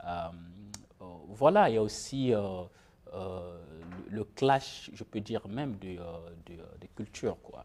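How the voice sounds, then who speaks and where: A man with a fairly low pitch speaks at a very slow pace, with ordinary pitch variation, long and frequent pauses, and big swings in loudness, on a very clean recording with a silent background. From Republic of the Congo. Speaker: author. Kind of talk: interview. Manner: halting.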